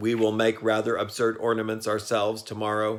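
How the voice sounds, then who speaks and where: A man puts on a robotic character voice at a medium pitch. He talks fairly quickly in a monotone, flat intonation. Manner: flat, unemotional.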